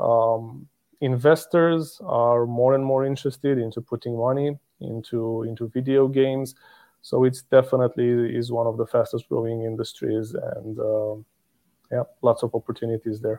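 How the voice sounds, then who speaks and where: Male speech at medium pitch and moderate pace, a normal speaking voice, fairly even intonation. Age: 30s. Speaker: company regional director. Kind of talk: casual interview.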